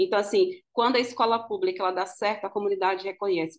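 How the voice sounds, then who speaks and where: A woman talks at a very fast clip with fairly even intonation. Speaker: school educator and pedagogical coordinator. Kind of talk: panel talk at online event.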